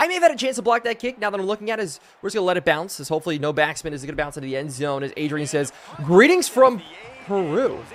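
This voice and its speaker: Through noticeable background noise, a man talks at a very fast pace in a high pitch with very wide pitch swings. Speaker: video game streamer. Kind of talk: live gameplay commentary. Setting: live stream. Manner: animated.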